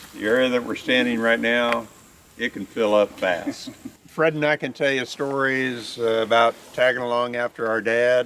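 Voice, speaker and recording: A man of medium pitch talks at a moderate pace against noticeable background noise. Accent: American. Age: 70s. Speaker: tree farm manager. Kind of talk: outdoor field talk. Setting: outdoors on a tree farm tour.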